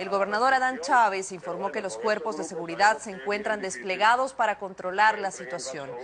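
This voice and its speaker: Noticeable noise sits in the background. A woman speaks at a moderate rate. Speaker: news anchor. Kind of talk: news reading. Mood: serious, formal. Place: studio. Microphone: lapel.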